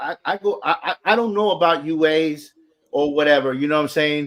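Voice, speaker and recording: This man talks with an American accent. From US South, Atlanta, Georgia. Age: 40s. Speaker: sneaker enthusiast. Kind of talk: casual chat. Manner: animated.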